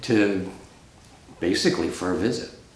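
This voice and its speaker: In an American accent, a man speaks at a fairly slow pace with audible room echo. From Rhode Island, US. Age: 60s. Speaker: professional planner, oral history interviewee. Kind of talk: oral history interview. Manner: hesitant, many fillers.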